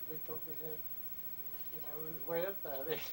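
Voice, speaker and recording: A man with an American accent speaks in a flat monotone. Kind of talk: interview answer.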